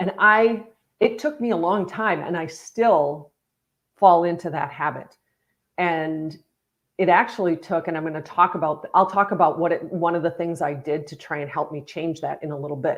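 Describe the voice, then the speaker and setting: A woman with a fairly low voice shows ordinary pitch variation and big swings in loudness. The background is quiet. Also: moderate pace. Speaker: leadership coach. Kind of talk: live stream talk. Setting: live stream.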